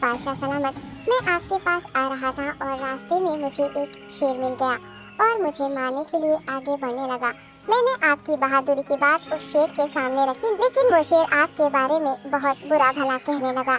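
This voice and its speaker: A female-sounding voice performs a cartoonish character at a moderate pace. Clear music plays in the background. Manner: deferential.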